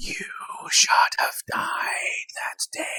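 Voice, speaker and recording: A man whispers in a shrill, put-on character voice. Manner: eerie, haunting.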